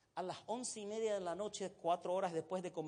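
A man is speaking. His pace is fairly quick. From Egypt. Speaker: pastor. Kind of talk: sermon.

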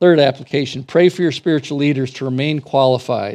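Over a quiet background, a man with a dark, mellow tone talks at a fairly quick pace with fairly even intonation. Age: 50s. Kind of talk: sermon. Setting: church.

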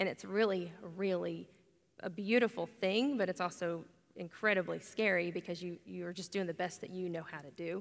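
A woman with an American accent talks at a fairly low pitch and a moderate pace, with ordinary pitch variation and big swings in loudness. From Oklahoma. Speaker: pastor's wife and mother. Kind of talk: on-stage Q&A interview at church. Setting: church stage with congregation. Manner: hesitant, many fillers.

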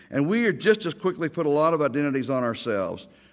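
Over a very clean recording with a silent background, a man talks at a fairly quick pace and a fairly high pitch, with very wide pitch swings. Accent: Oklahoma. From Oklahoma (Ardmore, Oklahoma City). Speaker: Baptist pastor. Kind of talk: sermon. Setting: church or chapel with audience.

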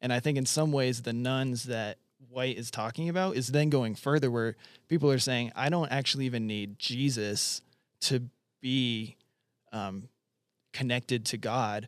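This man has an ordinary speaking voice, medium in pitch with ordinary pitch variation. He talks at a moderate pace. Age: 30s. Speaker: church resident. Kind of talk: casual chat.

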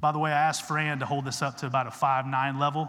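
In a Texan accent, a man rattles along at a very fast pace. His medium pitch stays in a monotone, flat line. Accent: Texan American English. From Texas. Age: 40s. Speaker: guest preacher, former Olympic wrestler. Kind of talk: evangelical Sunday sermon with slides, conversational and rallying. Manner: casual, chatty asides seeking crowd agreement.

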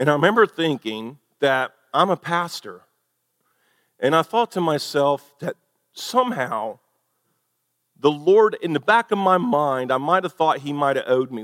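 Fairly high in pitch, a man talks at a moderate pace with very wide pitch swings and long, frequent pauses, in a dry, close sound with no echo. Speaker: pastor. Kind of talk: sermon. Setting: church.

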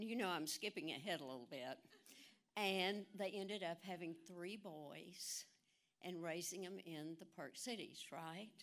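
On a very clean recording with a silent background, a woman with a normal speaking voice speaks at a fairly slow pace, her medium pitch showing ordinary variation. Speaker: event announcer. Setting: church.

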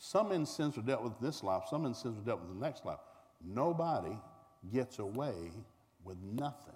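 At a moderate pace, a man with a Southern US accent speaks in a medium pitch with very wide pitch swings. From Tulsa, Oklahoma. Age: 60s.

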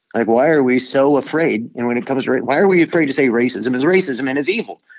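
A man with an ordinary speaking voice talks at a medium pitch with lively intonation. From US. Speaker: pastor. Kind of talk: panel discussion moderation.

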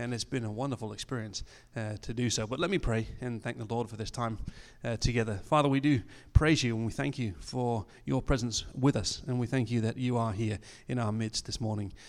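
The recording is very clean, with a silent background. A man with an English accent speaks at a fairly quick pace in a medium pitch, with ordinary pitch variation. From England. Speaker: missionary. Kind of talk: church talk. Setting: church. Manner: halting.

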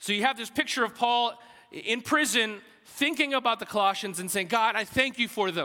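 Speaking in an American accent, a man with an extremely high pitch uses a raised, projected voice with a bright, sharp tone, ordinary pitch variation and a fairly quick pace. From US South, Alabama. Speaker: pastor. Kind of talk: sermon. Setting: church. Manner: halting, conversational.

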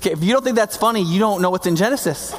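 Over noticeable background noise, the voice moves with ordinary pitch variation. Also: man. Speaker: pastor. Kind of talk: sermon. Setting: church. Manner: fast talker, mumbles words.

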